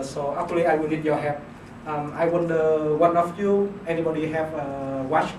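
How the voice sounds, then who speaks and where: Over noticeable background noise, a man talks at a fairly slow pace in a fairly high pitch with monotone, flat intonation. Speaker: PhD student. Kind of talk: class presentation. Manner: hesitant, many fillers.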